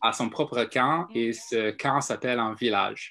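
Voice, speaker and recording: A man talks at a very slow pace. His pitch sits in the medium range. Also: very clean recording, silent background. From US South, Atlanta, Georgia. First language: English (speaking French). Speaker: panel participant, French learner. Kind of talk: casual live video discussion. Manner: halting, many fillers.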